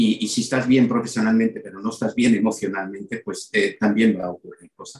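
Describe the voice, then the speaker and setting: A man delivers his words at a fairly quick pace in a monotone, flat intonation. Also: medium pitch for a man, big swings in loudness. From Belgium, then Málaga from age 18. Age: 50s. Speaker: sales director and personal branding mentor. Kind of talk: interview. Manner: halting, frequent repetitions.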